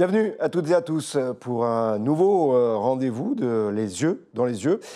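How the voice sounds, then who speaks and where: Against a quiet background, a man with a dark, mellow tone at medium pitch speaks at a fairly slow pace with very wide pitch swings. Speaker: interview host. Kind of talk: interview.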